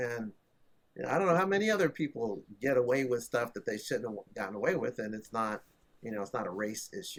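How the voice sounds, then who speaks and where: A man talks in a normal speaking voice at a medium pitch. His pace is fairly quick and his intonation lively. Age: 60s. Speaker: tech entrepreneur. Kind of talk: casual chat.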